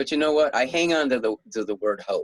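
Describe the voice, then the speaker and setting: Ordinary pitch variation from a male speaker. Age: 60s. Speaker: author and heart surgery survivor. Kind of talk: interview. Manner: halting with frequent repetitions.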